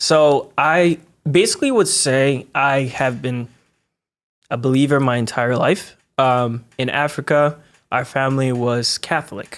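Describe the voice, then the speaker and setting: Ordinary pitch variation and a medium pitch from a man, captured on a very clean recording against a silent background. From Togo, raised in Connecticut from age six. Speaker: cinematographer and video producer. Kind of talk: podcast interview.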